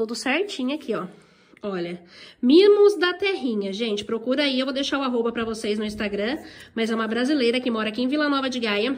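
Her pitch is fairly high, and this woman varies it in an ordinary way. She speaks at a fairly quick pace. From Brazil. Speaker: vlogger. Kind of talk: casual vlog chat. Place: home room. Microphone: phone near.

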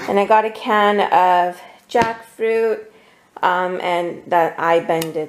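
A woman talks at a slow pace with fairly even intonation. Her pitch sits fairly low.

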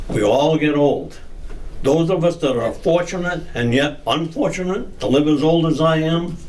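Recorded with audible room echo and noticeable background noise, a man with an American accent speaks at a moderate pace in a fairly high voice, with ordinary pitch variation and very even loudness. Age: 80s+. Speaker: elderly resident speaking at public comment. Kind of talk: public comment at town meeting. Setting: town council meeting.

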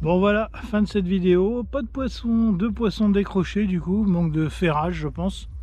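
At a fairly slow pace, a man speaks in dry sound with no echo. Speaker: fishing youtuber. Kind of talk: fishing vlog commentary. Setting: outdoors. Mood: slightly annoyed at the end. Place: boat.

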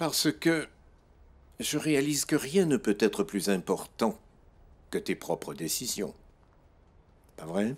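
A man's put-on character voice, medium in pitch, with a slightly husky edge, big pitch swings, a slow pace and long, frequent pauses

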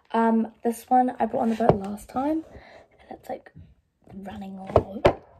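Loud background noise surrounds a woman speaking at a fairly slow pace with ordinary pitch variation. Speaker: vlogger. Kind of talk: casual vlog chat. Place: home room. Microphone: phone near.

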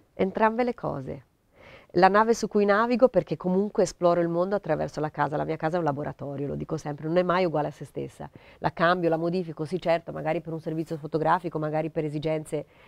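Against a quiet background, a woman talks very fast in a fairly low voice with ordinary pitch variation and a dry sound with no echo. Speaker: interviewee. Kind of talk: interview answer. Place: home room.

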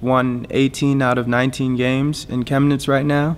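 Speaking with an American accent, a man keeps a monotone, flat intonation. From Florida, US. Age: 20s. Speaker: professional basketball player. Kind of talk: personal story narration. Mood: calm, reflective. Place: stadium.

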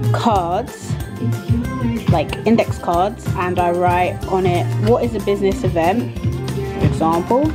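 Clear music can be heard behind the speech. The woman talks at a very slow pace. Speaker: events management student. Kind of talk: study-tips explanation. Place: home room. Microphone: phone near.

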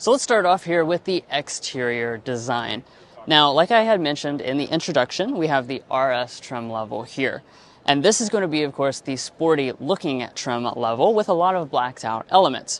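A man talks at a moderate pace, the sound dry with no echo. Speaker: car reviewer. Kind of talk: product walkaround review. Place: hall. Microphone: lapel.

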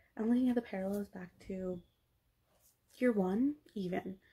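A woman's somewhat breathy voice, dark and mellow in tone, moves at a moderate pace. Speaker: vlogger. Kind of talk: casual vlog chat. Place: home room. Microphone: phone near.

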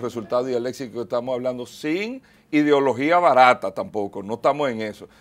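Speaking at a fairly quick pace, a man has a medium-pitched voice. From Dominican Republic. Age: 40s. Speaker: mayoral candidate; candidate. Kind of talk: TV interview. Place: studio. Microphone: lapel.

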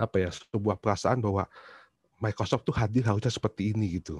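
Somewhat breathy, a man speaks with a fairly low pitch and ordinary pitch variation, in a dry sound with no echo over a quiet background. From Indonesia, Surabaya (East Java); East Java, Indonesia. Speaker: university lecturer; presenter. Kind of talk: book reflection talk; talk presentation, reflective storytelling. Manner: halting, many fillers. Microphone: video call.

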